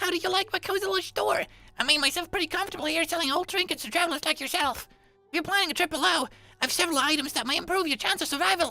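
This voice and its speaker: A squeaky, strained, put-on character voice races along at a very fast pace over faint music in the background. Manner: strained, forced.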